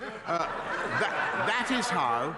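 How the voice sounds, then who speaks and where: A man talks with a British accent. Noticeable background noise runs underneath. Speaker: prime minister, politician. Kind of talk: parliamentary debate speech.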